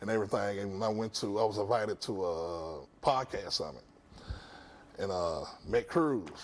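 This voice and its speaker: A man at a moderate pace, fairly low in pitch, with lively intonation and long, frequent pauses. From West Nashville, Tennessee. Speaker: podcast host. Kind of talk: TV talk show interview. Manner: casual, halting with fillers.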